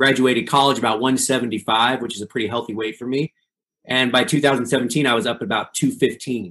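A man speaks at a moderate pace with a medium pitch, fairly even intonation and a bright, sharp tone. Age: 40s. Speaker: pastor. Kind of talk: interview.

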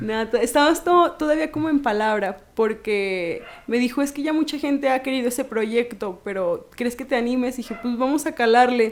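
A woman speaks in a high pitch with ordinary pitch variation. She leaves hardly any pauses. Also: moderate pace. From Mexico, Jalpa. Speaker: model and feminist activist. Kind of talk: casual interview.

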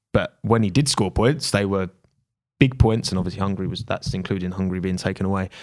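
A man with a British accent talks at a very fast pace. His pitch is fairly low. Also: ordinary pitch variation. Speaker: podcast host. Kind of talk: casual chat. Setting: studio. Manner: animated.

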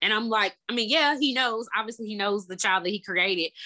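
A woman's fairly high, bright, sharp voice with a Southern US accent, a fairly quick pace and ordinary pitch variation. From Memphis, Tennessee. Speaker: therapist. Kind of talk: interview.

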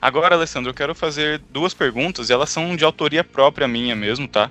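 A man at a fairly quick pace, with a bright, sharp tone and lively intonation. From Brazil. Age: 20s. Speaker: podcast co-host. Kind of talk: casual chat.

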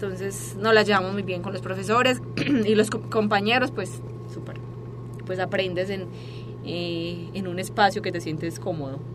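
Noticeable background noise and audible room echo around a woman's fairly slow speech. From Colombia, Medellín. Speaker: fitness student and psychopedagogue. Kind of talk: interview. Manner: halting, many repetitions and fillers.

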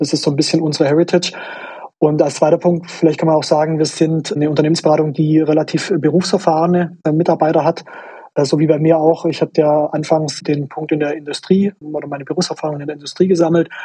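In a Swabian accent, a man speaks very fast at a fairly high pitch with monotone, flat intonation. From Swabia, southwestern Germany. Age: 30s. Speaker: management consultant. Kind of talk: interview. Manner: hesitant with fillers.

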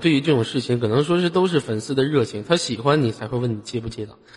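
Speaking very fast, a man holds a medium pitch. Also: hardly any pauses. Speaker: live voice-chat room host. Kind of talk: live call-in chat. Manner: animated.

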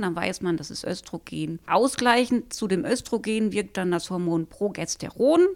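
Over a silent background in a very clean recording, a woman with a plain, everyday voice speaks at a fairly slow pace. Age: 50s. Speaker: librarian. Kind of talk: casual book review chat.

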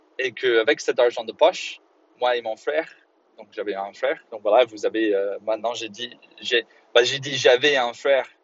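The man keeps a moderate pace. Long pauses come often in his speech. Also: big swings in loudness. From Northern Ireland, Belfast. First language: English (speaking French). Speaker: English teacher and podcast host. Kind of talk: solo educational podcast monologue. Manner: halting, many fillers and repetitions.

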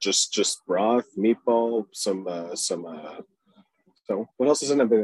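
A man's ordinary speaking voice, fairly low in pitch, with ordinary pitch variation at a fairly slow pace. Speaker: podcast co-host. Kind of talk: casual chat.

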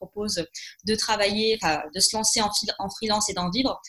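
At a moderate pace, a woman speaks. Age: 20s. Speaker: business coach. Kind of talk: interview. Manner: hesitant, many fillers.

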